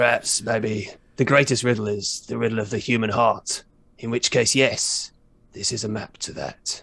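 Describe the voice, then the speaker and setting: A man puts on a character voice at medium pitch. He keeps a moderate pace. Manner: grandiose, pompous.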